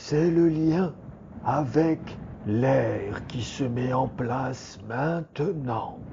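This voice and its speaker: In a put-on character voice, a man speaks at a medium pitch and a very slow pace over clear background noise. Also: ordinary pitch variation. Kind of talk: bedtime relaxation story. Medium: read story. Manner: slow, soothing, meditative.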